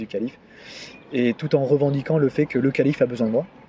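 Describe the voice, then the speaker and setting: With noticeable background noise behind him, a man talks in fairly even intonation. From Normandy, France (Deauville). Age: 30s. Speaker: arts touring administrator. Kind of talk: interview. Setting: face to face. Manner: halting, many repetitions and fillers.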